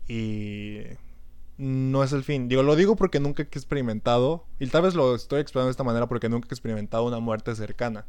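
Very fast in pace, a man speaks at medium pitch with ordinary pitch variation. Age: 20s. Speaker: podcast host. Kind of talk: casual chat.

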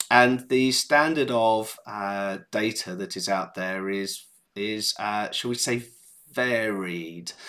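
A man's fairly low, bright and sharp voice in an English accent, very slow with ordinary pitch variation, on a very clean recording with a silent background. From England. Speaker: startup founder and CEO. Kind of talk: interview.

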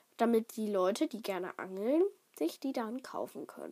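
A woman's pitch swings very widely while she talks at a fairly slow pace. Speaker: podcaster. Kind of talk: casual monologue. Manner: hesitant, many fillers.

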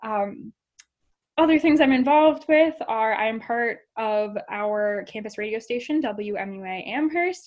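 With lively intonation, a woman talks at a fairly slow pace and a fairly high pitch. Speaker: university student podcast host. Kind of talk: casual podcast introduction. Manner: radio-style delivery.

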